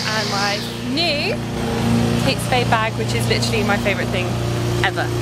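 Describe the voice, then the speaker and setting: The sound is dry with no echo, but loud background noise runs underneath. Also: woman, moderate pace. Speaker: travel vlogger. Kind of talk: casual vlog chat. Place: street. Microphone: phone near.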